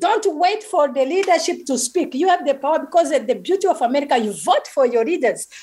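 Very fast, high-pitched speech from a woman, with lively intonation and hardly any pauses. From Rwanda. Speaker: genocide survivor, speaker. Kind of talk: testimony. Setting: video call.

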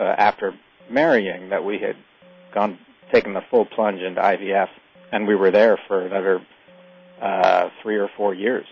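A man's fairly low voice at a moderate pace, broken by long, frequent pauses, amid noticeable background noise. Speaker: author. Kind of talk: radio interview.

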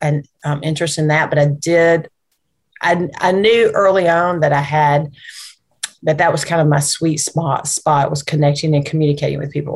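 A woman's very deep, low voice, somewhat breathy, at a fairly quick pace with fairly even intonation. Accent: Alabama. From US South (Anniston, East Alabama). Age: 50s. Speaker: nonprofit executive. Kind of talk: interview.

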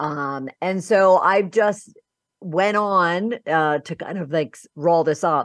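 In an American accent, a woman speaks very slowly with a fairly low pitch, ordinary pitch variation and big swings in loudness, the sound dry and close with no echo over a quiet background. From Philadelphia, US. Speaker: business coach and podcast host. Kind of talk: interview.

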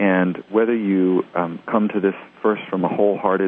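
Noticeable background noise sits under the speech. The pace is moderate and the intonation monotone and flat. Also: man. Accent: American. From US South, Tennessee. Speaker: musician. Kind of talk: interview.

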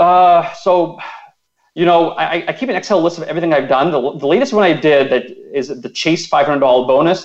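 Speech moves at a moderate pace. The pitch rises and falls in an ordinary way. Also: man, high pitch for a man. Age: 30s. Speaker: personal finance blogger. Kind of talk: radio interview.

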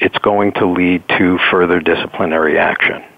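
A man with an American accent, a very deep, low pitch and fairly even intonation, at a moderate pace amid noticeable background noise. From New York City. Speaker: executive coach. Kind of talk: interview.

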